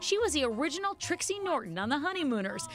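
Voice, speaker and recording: Music plays in the background as a woman talks. She moves at a fairly quick pace with very wide pitch swings. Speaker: TV entertainment reporter. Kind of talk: TV news obituary narration.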